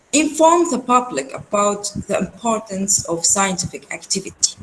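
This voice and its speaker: A woman speaks at a medium pitch with an Arabic accent. Her pitch swings very widely, and her pace is fairly slow. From Syria. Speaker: research centre executive, webinar speaker. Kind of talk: lecture. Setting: video call webinar. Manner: halting, many fillers.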